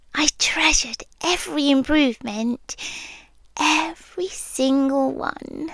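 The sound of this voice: A woman uses a put-on character voice with a British accent, high-pitched and fairly bright in tone. She speaks at a slow pace. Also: ordinary pitch variation.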